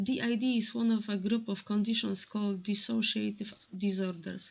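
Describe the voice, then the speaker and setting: At a moderate pace, a somewhat breathy woman of medium pitch speaks with monotone, flat intonation and very even loudness. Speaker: mental health podcast host. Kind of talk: podcast intro to camera.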